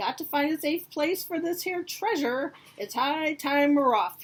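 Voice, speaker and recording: Someone performs a put-on character voice at a moderate pace. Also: woman, high pitch for a woman. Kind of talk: picture book read-aloud acting. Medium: read story. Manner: loud, blustery.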